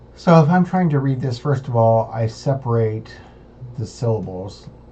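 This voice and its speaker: At a fairly slow pace, a man with an American accent speaks in a dark, mellow, somewhat breathy tone with ordinary pitch variation. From United States. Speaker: language student. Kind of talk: homework recording, tutorial-style. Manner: halting with many fillers.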